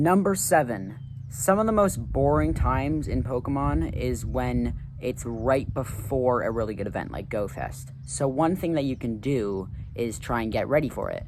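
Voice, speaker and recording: The words come at a moderate pace. Background music plays throughout. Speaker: gaming YouTuber. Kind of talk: tips video talk. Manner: casual, informal; stuttering at times.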